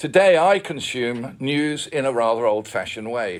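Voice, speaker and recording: A man with lively intonation and an Australian accent. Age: 70s. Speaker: retired journalist. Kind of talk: forum talk. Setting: public forum.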